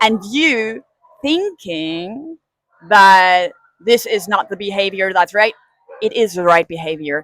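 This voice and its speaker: In a German accent, a woman speaks at a medium pitch. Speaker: dog trainer. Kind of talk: casual talk to camera.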